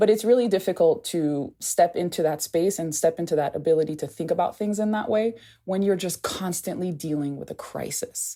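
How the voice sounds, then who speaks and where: A woman with an American accent speaks in a fairly low pitch with a dark, mellow tone. She leaves hardly any pauses, and the recording is very clean with a silent background. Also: ordinary pitch variation, fairly quick pace. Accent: deceptively American. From Haiti. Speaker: anthropologist and aid reform advocate. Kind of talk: podcast interview. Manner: casual, conversational.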